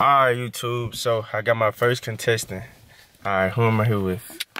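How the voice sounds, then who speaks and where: A man at a fairly quick pace. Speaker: YouTube channel host. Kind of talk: casual chat. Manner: animated.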